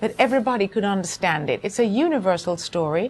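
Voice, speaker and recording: With a Jamaican accent, a woman talks with ordinary pitch variation. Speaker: actress and playwright. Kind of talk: interview.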